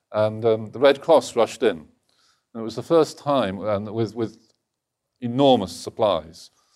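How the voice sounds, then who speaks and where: A man's fairly low-pitched voice with an English accent, at a moderate pace and with ordinary pitch variation. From England, Lincolnshire. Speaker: think tank executive and author. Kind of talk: lecture.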